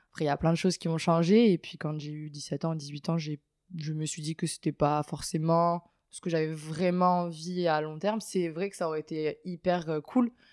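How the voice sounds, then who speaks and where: Fairly low-pitched for a woman, she talks at a moderate pace with fairly even intonation but big swings in loudness. The sound is dry and close with no echo, a very clean recording over a silent background. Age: 20s. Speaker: water polo player. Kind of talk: interview. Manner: hesitant.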